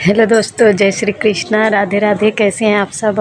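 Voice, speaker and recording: At a moderate pace, a woman talks in a flat monotone at medium pitch over noticeable background noise. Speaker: village vlogger. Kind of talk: casual vlog talk. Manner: soft, quiet.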